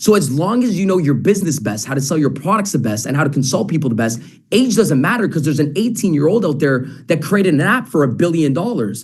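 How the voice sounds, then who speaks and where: Talking at a very fast pace with very wide pitch swings, a man with a Canadian accent is heard in a room with audible echo. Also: fairly high pitch for a man. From Canada. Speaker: sales trainer. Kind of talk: interview.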